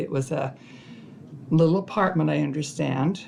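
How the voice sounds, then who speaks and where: With a western US accent, a woman speaks in a very deep, low pitch. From southern Idaho, Twin Falls. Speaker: family elder telling life story. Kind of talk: oral history interview. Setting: family history library.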